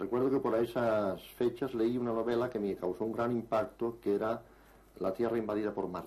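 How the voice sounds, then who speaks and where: This man speaks at a fairly quick pace with a medium pitch. His tone is dark and mellow. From Spain, Barcelona (Catalonia). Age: 60s. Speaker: writer and UFO researcher. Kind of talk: interview. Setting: on location in a village near Barcelona.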